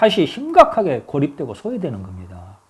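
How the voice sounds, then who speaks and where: A man talks at a fairly quick pace with very wide pitch swings. His voice carries vocal fry. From Honam (Jeolla), South Korea. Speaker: political commentator. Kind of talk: political commentary monologue. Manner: halting, with self-corrections.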